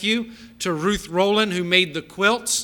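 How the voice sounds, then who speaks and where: Raising and projecting his voice, a man speaks fairly slowly at a high pitch with fairly even intonation. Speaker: church staff member. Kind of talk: church announcements. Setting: church.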